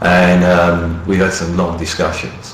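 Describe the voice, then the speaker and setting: Over noticeable background noise and audible room echo, a man speaks with a very deep, low pitch. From London, East End. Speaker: radio show host. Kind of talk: casual radio chat. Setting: radio show. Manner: halting, many fillers.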